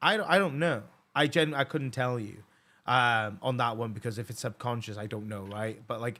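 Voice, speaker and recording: A man with a Welsh accent speaks at a moderate pace, his tone bright and sharp. His pitch variation is ordinary, and the recording is very clean with a silent background. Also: medium pitch for a man. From Wales. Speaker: podcast host. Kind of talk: casual chat. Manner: halting, many false starts.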